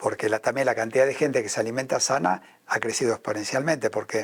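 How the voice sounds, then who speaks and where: This man talks with an Argentine accent at a fairly quick pace. His pitch is medium, with ordinary pitch variation. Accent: Argentine Spanish (Rioplatense). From Argentina. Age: 70s. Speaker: spiritual leader and businessman. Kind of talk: interview.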